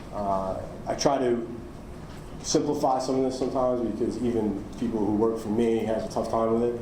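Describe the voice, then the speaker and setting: A man with a New York accent and a medium-pitched voice, at a fairly quick pace with fairly even intonation, amid audible room echo and noticeable background noise. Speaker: cyber insurance underwriter. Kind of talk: conference talk. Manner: halting, many fillers.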